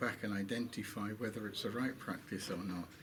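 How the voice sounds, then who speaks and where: Speaking at a moderate pace with a British accent, a man uses a fairly low pitch amid noticeable background noise and audible room echo. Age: 70s. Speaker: Islamic scholar. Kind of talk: interview.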